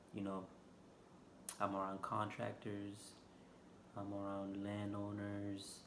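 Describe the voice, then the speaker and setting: With a Haitian accent, a man talks at a fairly slow pace in a fairly low pitch, with audible room echo. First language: Haitian Creole. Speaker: vlogger. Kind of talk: casual vlog monologue. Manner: unscripted, hesitant with fillers.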